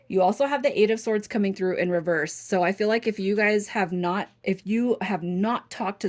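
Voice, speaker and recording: The recording is very clean and the background silent. A woman's speech moves fairly quickly, her pitch varying in an ordinary way. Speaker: tarot reader. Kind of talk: tarot reading. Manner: fast; animated.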